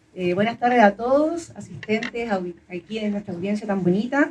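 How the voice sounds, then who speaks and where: Her pace moderate, a woman speaks at a medium pitch. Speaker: event moderator. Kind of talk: public interview. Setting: auditorium with audience. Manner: loud.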